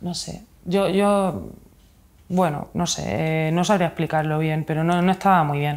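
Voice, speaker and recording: This woman speaks at a very slow pace. Her voice is fairly low in pitch, with fairly even intonation. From Spain, Murcia region (Mula); Murcia, Spain. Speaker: illustrator and author; interviewee. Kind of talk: interview. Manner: halting, many fillers. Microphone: lapel.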